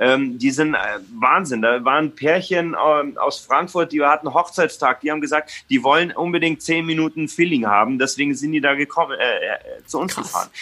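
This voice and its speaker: Using ordinary pitch variation, a man speaks at a moderate pace in a fairly high pitch. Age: 30s. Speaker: restaurant owner and chef. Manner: halting, many fillers.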